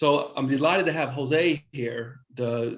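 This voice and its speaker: A man with a Texan accent talks at a medium pitch. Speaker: business consultant and webinar host. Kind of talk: webinar presentation. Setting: online webinar. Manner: halting, frequent repetitions and restarts.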